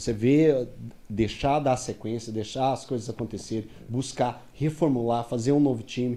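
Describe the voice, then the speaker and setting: With a dark, mellow tone, a man delivers his words at a moderate pace. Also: medium pitch for a man, fairly even intonation. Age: 40s. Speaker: sports reporter. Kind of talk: casual chat.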